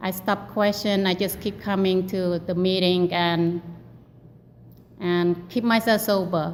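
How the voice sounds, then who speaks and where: A woman with a non-native accent, medium pitch and fairly slow pace, with audible room echo. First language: not English. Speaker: recovery group member sharing. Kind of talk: testimony. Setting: meeting hall. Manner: halting.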